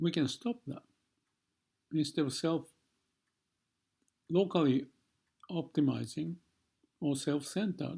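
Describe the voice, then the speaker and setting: A man with a fairly high pitch and a dark, mellow tone speaks at a fairly slow pace, with vocal fry. His pitch varies in an ordinary way, and he takes long, frequent pauses. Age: 70s. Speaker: vlogger. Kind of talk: reflective monologue. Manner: halting.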